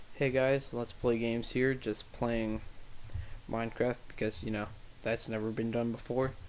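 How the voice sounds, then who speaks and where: A quiet man's voice at medium pitch and moderate pace, with monotone, flat intonation. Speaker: gaming video creator. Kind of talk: gameplay commentary.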